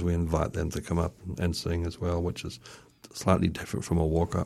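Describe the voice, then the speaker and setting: A fairly quick-paced man with a very deep, low voice. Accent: New Zealand. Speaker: festival organizer. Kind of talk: radio interview.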